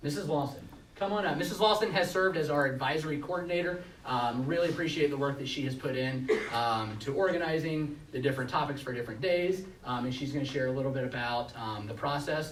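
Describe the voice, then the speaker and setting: Over noticeable background noise and audible room echo, a man speaks very fast with ordinary pitch variation. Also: fairly high pitch for a man. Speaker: school administrator. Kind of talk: presentation at board meeting. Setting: public meeting with audience. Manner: hesitant with many fillers.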